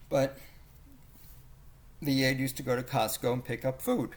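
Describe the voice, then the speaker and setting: A man mumbles at a medium pitch. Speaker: video blogger documenting family elder abuse. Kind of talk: casual monologue narrating photos. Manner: mumbling.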